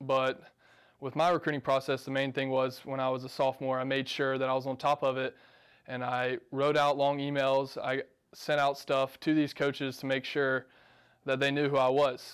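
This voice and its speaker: A man's medium-pitched voice at a moderate pace, monotone and flat in intonation, against a quiet background. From Georgia, US South (Macon); Georgia. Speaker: college tennis player. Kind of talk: interview; interview answer. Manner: casual with frequent fillers. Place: office.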